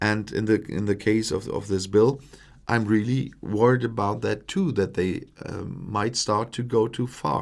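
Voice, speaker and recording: On a very clean recording with a silent background, a man with a German accent speaks at a fairly slow pace, with a fairly low pitch and ordinary pitch variation. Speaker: political commentator, YouTuber. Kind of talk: live stream Q&A. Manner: halting, many fillers.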